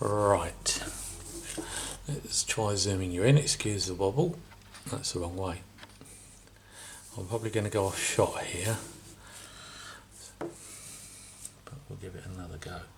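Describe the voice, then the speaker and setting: Mumbling at a fairly slow pace, a man speaks in a fairly low pitch with ordinary pitch variation. His loudness swings widely, with long, frequent pauses. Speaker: scale model builder. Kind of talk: tutorial.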